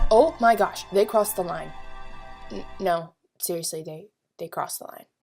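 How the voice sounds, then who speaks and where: Music plays in the background as a woman speaks at a moderate pace. Her loudness swings widely. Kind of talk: sarcastic commentary over film clips.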